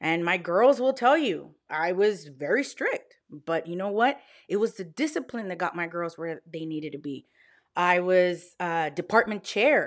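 A normal speaking voice with an American accent goes at a fairly slow pace. Its intonation is lively and its loudness swings widely. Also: woman, fairly low pitch for a woman, very clean recording, silent background. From Texas Panhandle, Plainview. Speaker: teacher and business owner. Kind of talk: interview conversation.

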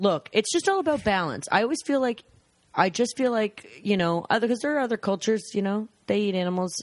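Very fast, lively speech from a woman with a fairly high voice. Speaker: sketch comedian. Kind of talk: casual chat. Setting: host's apartment. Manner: relaxed.

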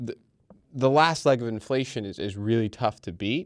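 An unremarkable speaking voice moves at a moderate pace with ordinary pitch variation. The recording is very clean, with a silent background and a dry, close sound with no echo. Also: man. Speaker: markets trader. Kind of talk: casual chat.

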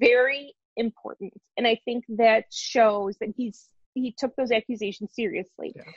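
A woman speaks in a plain, everyday voice, her fairly high pitch and moderate tempo holding throughout. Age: 30s. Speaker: baseball writer. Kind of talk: casual chat.

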